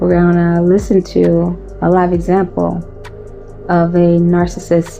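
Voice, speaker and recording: Background music accompanies a woman who speaks fairly slowly. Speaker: trauma and relationship podcast host. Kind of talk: podcast episode intro. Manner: drained, unengaging.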